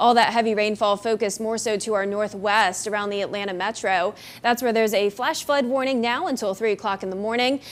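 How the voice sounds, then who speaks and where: A woman's unremarkable speaking voice at a fairly quick pace, fairly even in intonation, with hardly any pauses. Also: fairly high pitch for a woman. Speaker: TV meteorologist. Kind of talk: TV weather forecast.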